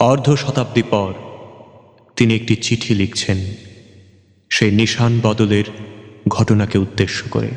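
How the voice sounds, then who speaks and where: The voice keeps a fairly even intonation and a very even loudness throughout. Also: man, medium pitch for a man. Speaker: recitation artist. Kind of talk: poetry reading.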